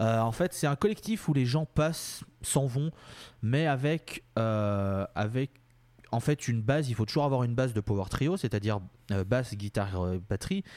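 A man speaks in an unremarkable speaking voice at medium pitch and a fairly slow pace, with lively intonation and very even loudness. The recording is very clean with a silent background, and the sound is dry and close with no echo. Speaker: podcast host. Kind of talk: casual chat.

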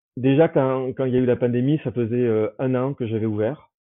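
This man speaks with a southern French accent. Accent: southern French, sing-song. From southern France, Toulouse. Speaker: holiday rental host. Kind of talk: interview conversation. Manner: halting, many fillers and repetitions; energetic.

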